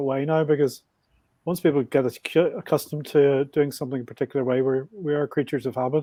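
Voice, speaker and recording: A man with a strong Belfast accent talks very fast. His pitch is fairly high. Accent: Belfast Northern Irish, thick. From Northern Ireland, Belfast. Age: 60s. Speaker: podcast guest, motorbike traveler. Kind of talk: podcast interview.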